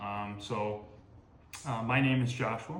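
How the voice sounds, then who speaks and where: A man talks with fairly even intonation amid noticeable background noise and audible echo from the room. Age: 20s. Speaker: firefighter. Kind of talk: interview answers. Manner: hesitant, many fillers.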